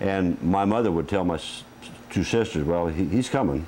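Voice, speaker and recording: Speaking at a fairly quick pace in a Midwestern US accent, a man uses lively intonation with a very deep, low pitch. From Iowa, US Midwest. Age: 60s. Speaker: retired highway patrol officer. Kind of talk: interview.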